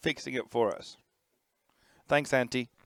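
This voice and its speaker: A man is heard on a very clean recording with a silent background. The sound is dry and close, with no echo. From United Kingdom. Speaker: race commentator. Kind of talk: live commentary.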